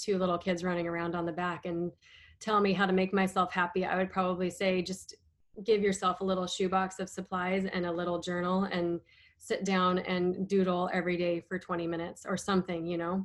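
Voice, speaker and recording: A woman speaks in an American accent at a medium pitch and moderate pace, her intonation monotone and flat. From US Northwest (Idaho/Washington). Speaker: abstract painter. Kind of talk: casual chat.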